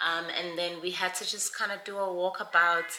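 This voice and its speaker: Noticeable background noise runs under a woman's voice. She speaks at a fairly low pitch with monotone, flat intonation. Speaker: lifestyle vlogger. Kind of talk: casual vlog.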